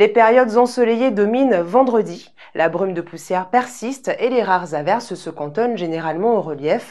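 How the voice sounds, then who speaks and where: A woman speaks with a dark, mellow tone in a fairly high pitch. Her voice moves in very wide pitch swings over a quiet background. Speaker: weather presenter. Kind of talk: TV weather report, scripted and read out. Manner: formal; even, polished broadcast delivery. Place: studio. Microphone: lapel.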